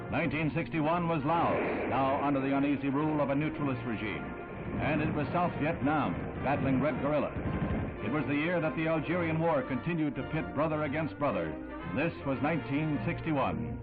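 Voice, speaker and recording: With music in the background, a man speaks in a dramatic tone at a fairly high pitch and fairly quick pace, with ordinary pitch variation and very even loudness. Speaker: newsreel narrator. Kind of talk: vintage newsreel narration. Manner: brisk, dramatic, authoritative.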